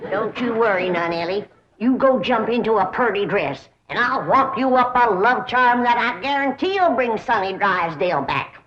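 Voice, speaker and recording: Putting on a character voice in a Southern US accent, a woman speaks fairly high in pitch. Her intonation is lively and her pace moderate. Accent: rural Southern hillbilly. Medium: short film. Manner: folksy, plain-spoken.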